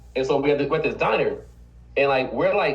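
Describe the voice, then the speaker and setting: Very fast, animated speech with audible room echo. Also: man. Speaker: business owner and team trainer. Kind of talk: motivational team meeting talk.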